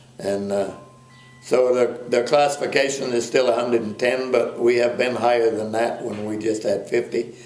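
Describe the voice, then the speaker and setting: A man speaks at a medium pitch in a flat monotone, with audible room echo and noticeable background noise. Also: moderate pace. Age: 70s. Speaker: dairy cattle breeder. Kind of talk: interview. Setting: on a farm.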